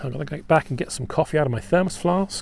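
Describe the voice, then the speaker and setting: A man with a dark, mellow tone talks with an English accent. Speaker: battlefield tour guide. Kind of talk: live-streamed outdoor tour talk. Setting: outdoors on a battlefield. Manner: halting, many ums. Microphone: new microphone.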